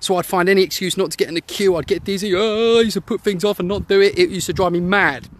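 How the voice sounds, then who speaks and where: A man with a British accent, high-pitched, at a very fast pace with hardly any pauses, fairly even intonation, and a dry, close sound with no echo. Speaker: former anxiety sufferer and website founder. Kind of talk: personal testimony. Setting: outdoors, walking.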